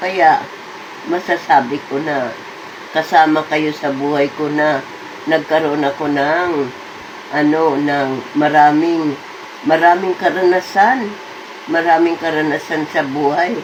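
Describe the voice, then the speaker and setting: Noticeable background noise sits behind this woman's very deep, low voice. She speaks with fairly even intonation and takes long, frequent pauses. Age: 80s+. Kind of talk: casual talk to camera.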